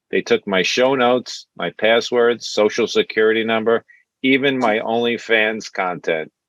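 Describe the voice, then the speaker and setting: Speaking with a strong Brooklyn accent, a man uses a medium pitch, a moderate pace and fairly even intonation. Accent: thick Brooklyn. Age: 60s. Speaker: stand-up comedian. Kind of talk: stand-up.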